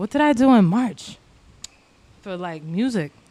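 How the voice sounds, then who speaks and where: A soft-spoken woman, fairly slow, her pitch swinging very widely. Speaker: musician. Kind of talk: casual chat. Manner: loud at times.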